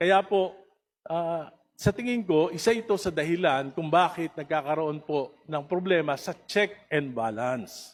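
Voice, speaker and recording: A man's high-pitched voice at a fairly slow pace. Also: ordinary pitch variation, very clean recording, silent background. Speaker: congressman. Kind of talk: heated debate. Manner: passionate, raised voice.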